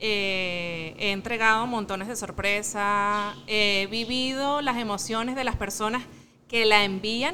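A woman's fairly high voice with a bright, sharp tone and ordinary pitch variation. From Venezuela, Miranda state. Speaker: mother and small business owner. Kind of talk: interview. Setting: restaurant.

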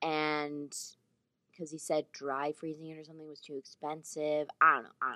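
A woman speaks at a very deep, low pitch in a bright, sharp tone and a fairly quick pace. Her intonation is monotone and flat, but her loudness swings a lot. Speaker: podcast host. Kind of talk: casual chat.

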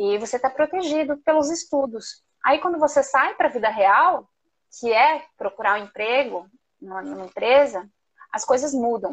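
A woman talks in a high voice with lively intonation. Her pace is moderate. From southern Brazil, Curitiba. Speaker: entrepreneur, macaron maker. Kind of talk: live interview.

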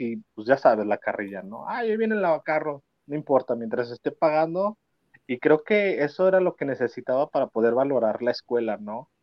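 In a Mexican accent, the speaker moves at a moderate pace with lively intonation. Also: man. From Mexico, León, Guanajuato. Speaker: adoption consultant. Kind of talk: interview testimony.

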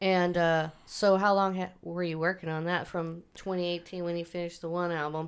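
At a moderate pace, a woman with a Midwestern American accent speaks in a fairly low, monotone, flat voice with hardly any pauses. The recording is very clean, with a silent background. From Wichita, Kansas. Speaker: podcast host. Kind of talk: casual interview.

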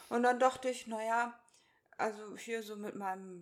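A woman talks at a moderate pace with a fairly high pitch. She has an unremarkable speaking voice. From Hannover, northern Germany. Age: 30s. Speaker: podcast co-host, virtual assistant. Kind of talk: casual chat.

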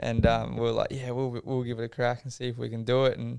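Speaking in a monotone, flat way, a man with an Australian accent uses a medium pitch on a very clean recording with a silent background. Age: 20s. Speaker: speedway rider. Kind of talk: casual chat.

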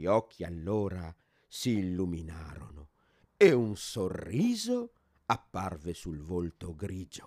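Very slow speech from a man with a very deep, low pitch and a warm tone, ordinary pitch variation and big swings in loudness. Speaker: course participant storyteller. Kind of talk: storytelling narration, reading a written tale aloud. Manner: measured, warm and expressive, soft dreamy pacing.

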